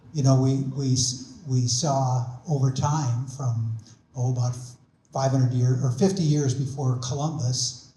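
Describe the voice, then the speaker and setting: A man's somewhat breathy voice in an American accent, medium in pitch with a dark, mellow tone, monotone, flat intonation and a fairly slow pace, with audible room echo. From Minnesota. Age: 70s. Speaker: invited speaker on energy and climate. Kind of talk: public talk. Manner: halting, many fillers.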